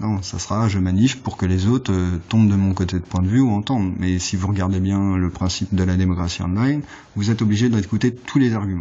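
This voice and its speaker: Fairly low in pitch, a man talks at a fairly quick pace with fairly even intonation. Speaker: political vlogger. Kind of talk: political monologue. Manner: fast; halting.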